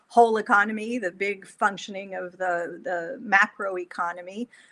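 A woman's bright, sharp tone at a moderate pace, with ordinary pitch variation. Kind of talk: lecture. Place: home room. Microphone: lapel.

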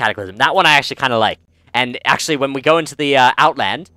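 The reading aloud is plain, with ordinary pitch variation.

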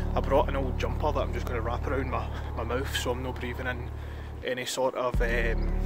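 Music plays behind a man talking at a fairly quick pace. The sound is dry, with no echo. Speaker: vlogger. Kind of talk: casual vlog chat. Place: open country. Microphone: phone near.

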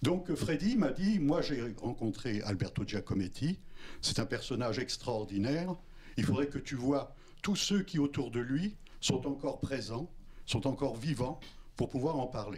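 Speaking at a fairly slow pace, a man sounds somewhat breathy and uses lively intonation. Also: medium pitch for a man. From France. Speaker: documentary filmmaker. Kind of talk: post-screening talk. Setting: cinema with audience. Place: hall. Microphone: handheld.

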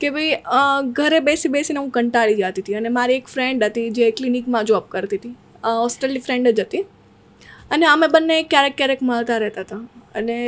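A woman speaks at a high pitch. Her loudness rises and falls in big swings. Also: ordinary pitch variation. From Saurashtra, Gujarat (near Junagadh), raised in Surat; Gujarat. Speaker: social media creator and music video actress; social media creator, music video actress. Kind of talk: casual interview. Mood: relaxed, smiling. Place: studio. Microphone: studio mic.

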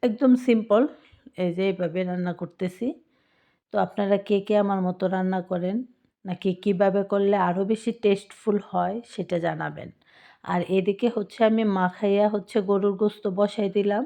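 A woman's medium-pitched voice with a dark, mellow tone and fairly even intonation over a quiet background. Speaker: YouTube cooking vlogger. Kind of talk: cooking tutorial voiceover. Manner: casual, informal.

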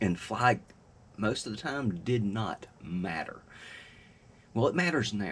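Very slow speech from a man, fairly low in pitch, with vocal fry and very wide pitch swings. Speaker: fishing vlogger. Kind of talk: casual vlog chat. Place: home room. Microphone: webcam.

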